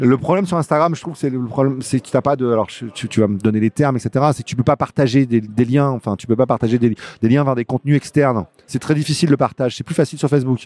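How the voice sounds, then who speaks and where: Talking very fast in a medium pitch with ordinary pitch variation, a man comes through in a dry, close sound with no echo. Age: 50s. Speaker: novelist and comic book writer. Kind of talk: interview. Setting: comics festival.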